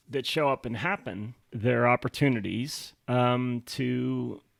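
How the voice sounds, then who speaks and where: Recorded very cleanly over a silent background, a man speaks with ordinary pitch variation. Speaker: podcast co-host and author. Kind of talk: casual chat. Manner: loud.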